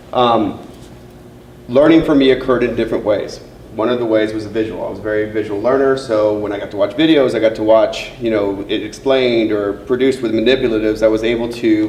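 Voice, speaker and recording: A man at a very fast pace, medium pitch and fairly even intonation, with noticeable background noise and audible room echo. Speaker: middle school principal. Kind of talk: presentation to parents. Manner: loud.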